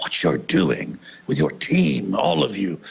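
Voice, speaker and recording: A man speaks at a fairly slow pace in a put-on character voice pitched very deep and low. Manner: appreciative, polite.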